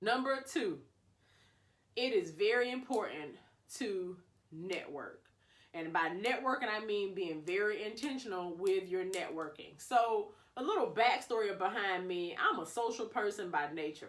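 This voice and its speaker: With an animated tone and lively intonation, a woman of medium pitch talks at a fairly slow pace. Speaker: public health professional, video creator. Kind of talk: casual advice vlog.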